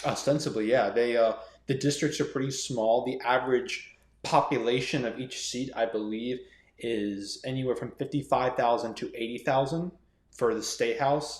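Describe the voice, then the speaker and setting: A man speaks with an American accent in an unremarkable speaking voice at medium pitch. His intonation is fairly even and his pace moderate. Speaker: aspiring politician. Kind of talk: casual interview. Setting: podcast recording.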